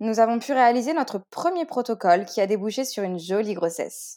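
In a normal speaking voice, a woman with a fairly high pitch talks at a moderate pace with lively intonation on a very clean recording with a silent background. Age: 20s. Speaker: author sharing fertility story. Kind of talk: testimony. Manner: scripted, read-aloud narration.

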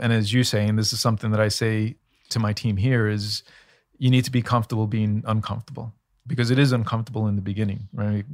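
On a very clean recording with a silent background, a man with an ordinary speaking voice talks at a medium pitch with fairly even intonation. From United States, child of Colombian immigrants. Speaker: finance executive. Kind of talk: interview.

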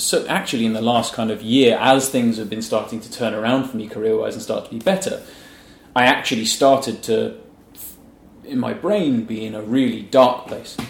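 A man with vocal fry and big swings in loudness, amid audible room echo. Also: medium pitch for a man, ordinary pitch variation, moderate pace. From England, Norfolk. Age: 30s. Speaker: illustrator. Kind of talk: casual interview.

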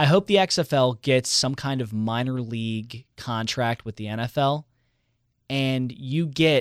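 Very cleanly recorded with a silent background and a dry, close sound without echo, a man speaks in an unremarkable speaking voice at medium pitch with lively intonation. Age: 20s. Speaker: radio host. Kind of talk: casual chat.

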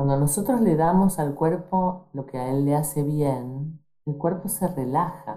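A woman's very deep, low pitch with an Argentine accent at a fairly slow pace. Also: ordinary pitch variation, hardly any pauses. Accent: Rioplatense Argentine Spanish. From Argentina, Rosario. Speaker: doctor. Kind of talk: interview.

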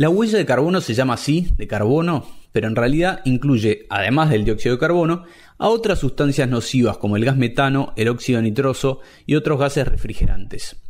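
With a normal speaking voice, a man talks at a fairly quick pace and fairly high pitch, with lively intonation and very even loudness, on a very clean recording with a silent background. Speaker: podcast host. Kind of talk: scripted narration; interview.

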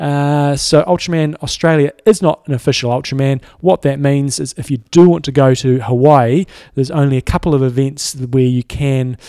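Fairly high-pitched for a man, he speaks at a moderate pace with fairly even intonation. His tone is dark and mellow. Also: hardly any pauses, dry, close sound with no echo. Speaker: triathlon coach and podcast co-host. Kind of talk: casual chat.

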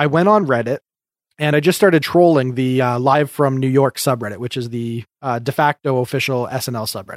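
A man talks at a fairly quick pace in an unremarkable speaking voice, medium in pitch with ordinary pitch variation. The sound is dry and close, with no echo. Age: 30s. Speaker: podcast host. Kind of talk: casual chat. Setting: video call.

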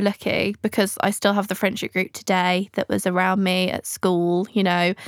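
Speaking with an English accent at a moderate pace and with hardly any pauses, the voice has a dry, close sound with no echo on a very clean recording with a silent background. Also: woman. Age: 20s. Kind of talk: casual interview chat. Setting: in person studio.

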